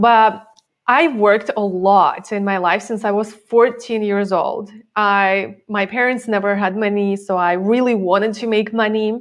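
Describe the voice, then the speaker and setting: Speech comes at a fairly slow pace with fairly even intonation in a Russian accent. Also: woman, medium pitch for a woman. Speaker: time management coach. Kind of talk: interview.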